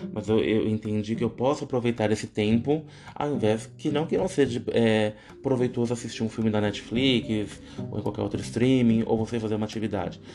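A man speaks at a fairly quick pace with a medium pitch and ordinary pitch variation, over noticeable background noise. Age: 30s. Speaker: psychology student and podcaster. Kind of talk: solo presentation monologue.

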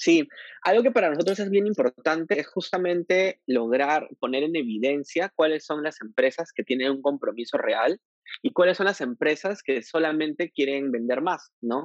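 A man with an unremarkable speaking voice and fairly high pitch talks at a moderate pace with lively intonation, the sound dry and close with no echo. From Peru, Piura. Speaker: LGBTQ rights activist. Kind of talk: interview conversation.

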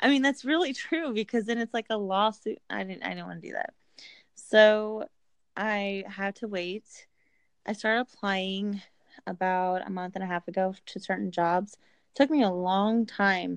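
A woman with an American accent, medium-pitched, at a moderate pace with ordinary pitch variation, dry and close with no echo over a quiet background. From Indiana, US Midwest. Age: 20s. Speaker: truck driver recruiter. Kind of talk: casual chat.

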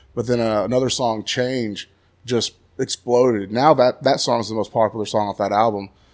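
A man with a Texan accent speaks at a fairly quick pace, his medium pitch held to fairly even intonation. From Texas, Graham. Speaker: touring band musician. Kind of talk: casual interview chat.

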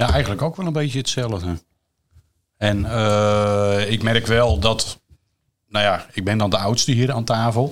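A man with a plain, everyday voice talks at a fairly slow pace, his medium pitch held in a fairly even intonation. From Netherlands, Drenthe. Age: 40s. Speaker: parent of guest. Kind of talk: casual chat.

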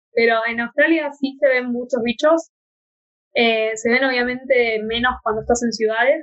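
A woman with an unremarkable speaking voice and a fairly high pitch talks at a fairly quick pace with fairly even intonation. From Argentina. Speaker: podcast host. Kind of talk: casual chat.

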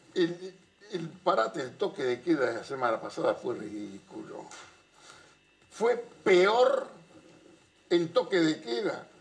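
A man with a high pitch speaks at a very slow pace, using very wide pitch swings and long, frequent pauses. Noticeable background noise runs underneath. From Argentina, Buenos Aires area (Avellaneda). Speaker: political analyst. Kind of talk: casual chat.

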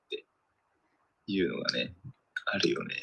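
The sound is dry and close with no echo as a man talks at a moderate speed. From Tokyo, Japan. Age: 20s. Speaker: podcast co-host. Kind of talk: casual chat.

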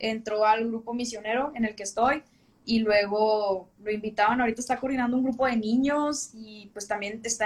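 An unremarkable speaking voice from a woman, fairly high in pitch, with fairly even intonation and a moderate pace. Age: 20s. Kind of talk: casual interview on a livestream.

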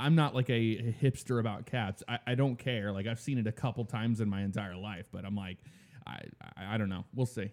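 With an ordinary speaking voice, a man talks fairly quickly at a medium pitch, with ordinary pitch variation, on a very clean recording with a silent background. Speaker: podcast host. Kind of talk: casual chat.

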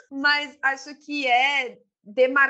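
High-pitched female speech, bright and sharp in tone. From Itaquera, East Zone of São Paulo, Brazil. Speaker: podcast co-host. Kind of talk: casual chat about readings.

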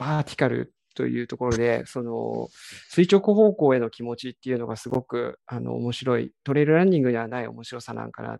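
A man talks at a fairly quick pace with hardly any pauses and big swings in loudness. The sound is dry and close with no echo. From Kiryu, Gunma, Japan. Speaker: trail runner. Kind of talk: interview.

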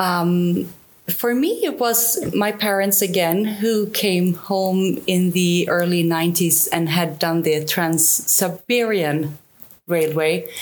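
A woman speaks very slowly in a Swedish accent, her fairly low pitch varying in an ordinary way. Her loudness stays very even. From southern Sweden. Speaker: travel YouTuber. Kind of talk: casual interview.

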